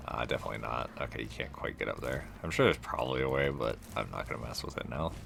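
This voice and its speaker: A man's very deep, low voice at a very fast pace with hardly any pauses and fairly even intonation, over noticeable background noise. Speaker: gaming video creator. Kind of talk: let's play commentary. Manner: casual, meandering.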